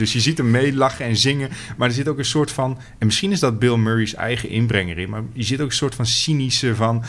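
A man speaks at a moderate pace and medium pitch with ordinary pitch variation. Noticeable background noise is present. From Netherlands, fishing village. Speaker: podcast co-host, film reviewer. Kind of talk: casual chat.

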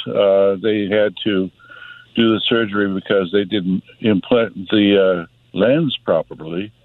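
The voice is a normal speaking voice with fairly even intonation. It moves at a fairly slow pace. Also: man. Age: 60s. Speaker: caller. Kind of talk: phone-in testimony.

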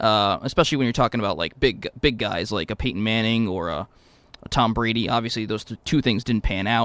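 The sound is dry and close with no echo. A man with an ordinary speaking voice talks at a medium pitch and a fairly quick pace. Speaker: radio show producer and co-host. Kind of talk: casual sports banter. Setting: radio studio.

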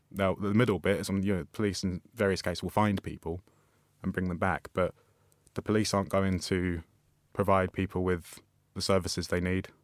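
This speaker has a London accent and a monotone, flat delivery. The sound is dry and close with no echo, recorded very cleanly against a silent background. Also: man, very deep, low pitch for a man. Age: 20s. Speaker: writer and journalist. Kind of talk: interview. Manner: halting.

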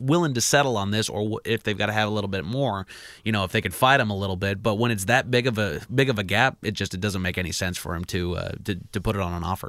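A man with a fairly low voice talks very fast with ordinary pitch variation, recorded very cleanly against a silent background. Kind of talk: casual chat. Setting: studio.

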